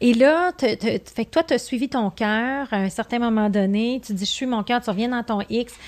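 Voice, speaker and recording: In a Quebec accent, the speech moves at a moderate pace in a very clean recording with a silent background. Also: woman. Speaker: podcast host, business coach. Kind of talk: interview. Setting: in person studio.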